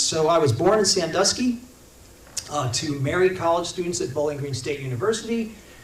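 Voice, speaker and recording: A man with a Midwestern US accent speaks in a high pitch with lively intonation. Noticeable background noise and audible room echo are present. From Indiana. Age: 60s. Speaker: congressional candidate. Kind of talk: campaign talk to a local meeting.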